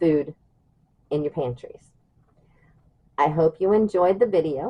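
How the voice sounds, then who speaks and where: A woman with an American accent has a fairly low pitch. She talks at a moderate pace with ordinary pitch variation. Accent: Southern US, stronger than usual today. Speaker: prepper channel host. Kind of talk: tutorial. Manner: casual, babbling with fillers.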